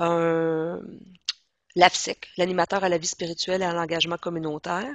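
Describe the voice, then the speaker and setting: At a fairly slow pace, a woman speaks in a fairly low pitch. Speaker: education trainer. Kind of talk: training presentation.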